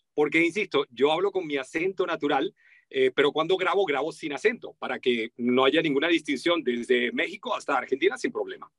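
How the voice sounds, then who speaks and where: A high-pitched man with a Venezuelan accent, lively intonation and a fairly quick pace. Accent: Venezuelan, sing-song. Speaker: voice-over artist. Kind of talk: interview.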